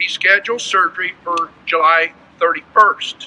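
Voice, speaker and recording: Projecting his raised voice, a man speaks at a fairly slow pace. His accent is American. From California (Bakersfield). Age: 60s. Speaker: farmer. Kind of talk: prepared statement, testimony. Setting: press conference. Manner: formal.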